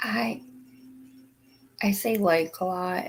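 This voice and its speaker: A woman speaks quietly with lively intonation. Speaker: streamer. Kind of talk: casual chat. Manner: quiet, hard to hear.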